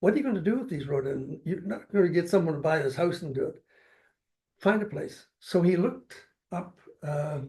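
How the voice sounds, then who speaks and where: Speaking at a fairly quick pace with a Canadian accent, a man has a high pitch, a dark, mellow tone and lively intonation. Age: 80s+. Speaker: retired city councillor. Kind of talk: interview. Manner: halting, repeats words.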